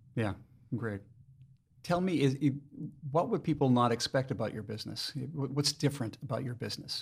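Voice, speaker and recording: The voice is somewhat breathy and moves at a fairly quick pace, broken by long, frequent pauses, with ordinary pitch variation. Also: man, medium pitch for a man. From Maine. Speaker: podcast host. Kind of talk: interview; scripted intro.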